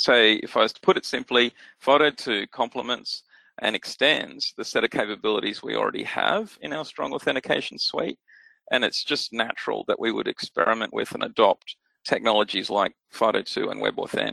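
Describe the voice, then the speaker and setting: This man speaks with an Australian accent at a moderate pace. The sound is dry and close, with no echo. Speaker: security technology expert. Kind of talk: interview.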